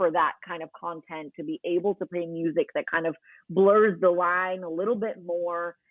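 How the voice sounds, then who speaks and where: A woman with an American accent has an unremarkable speaking voice at a medium pitch. She keeps a moderate pace and fairly even intonation. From New York City, Queens. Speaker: radio host. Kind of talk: podcast interview.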